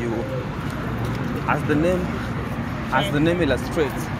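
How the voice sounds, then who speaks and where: The recording of a man has loud background noise but a dry sound with no echo. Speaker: travel vlogger. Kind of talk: casual vlog chat. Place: motorbike. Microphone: phone near.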